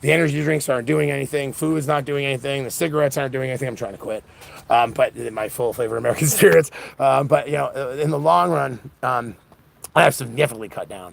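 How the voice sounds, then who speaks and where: A man's very fast talk at medium pitch, with ordinary pitch variation. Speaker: political livestreamer. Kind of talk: livestream monologue. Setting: live event.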